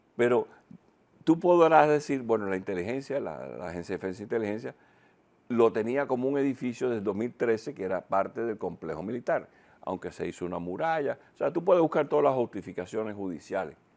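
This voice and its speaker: A man's medium-pitched voice at a fairly quick pace with very wide pitch swings, in a very clean recording with a silent background. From Cuba (Havana). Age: 70s. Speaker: retired military intelligence analyst, commentator. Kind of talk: TV panel discussion. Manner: animated, with false starts.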